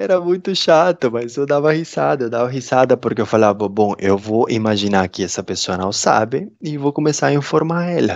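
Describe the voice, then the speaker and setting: A man with a Peruvian accent, medium pitch, very wide pitch swings, a moderate pace and hardly any pauses. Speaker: interview guest, immigrant. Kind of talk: casual interview. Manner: hesitant, many fillers.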